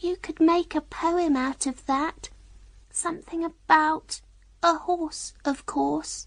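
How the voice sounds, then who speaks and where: This put-on character voice is high-pitched and soft-spoken. It goes at a fairly slow pace. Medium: read story.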